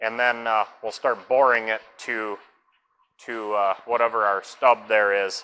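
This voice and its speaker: Bright, sharp tone from a man's voice. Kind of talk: tutorial. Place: workshop.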